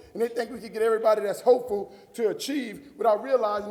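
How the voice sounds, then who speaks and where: Over noticeable background noise, a man with an American accent talks very fast in a high voice and an animated tone. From US South, New Orleans. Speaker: motivational speaker. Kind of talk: keynote speech.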